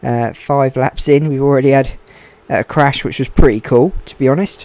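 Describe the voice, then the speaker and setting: A man talks quietly at a moderate pace, his pitch fairly high. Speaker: gaming streamer, race commentator. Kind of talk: live commentary.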